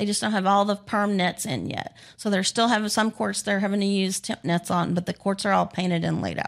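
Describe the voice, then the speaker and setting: A plain, everyday voice from a woman with an American accent, medium pitch, fairly even intonation, and a fairly quick pace with hardly any pauses. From Texas, Dallas area. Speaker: pickleball player and coach. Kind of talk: casual interview.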